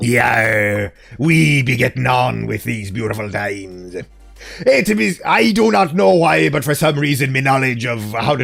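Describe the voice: Faint music plays in the background while a man puts on a character voice at medium pitch and a fairly slow pace.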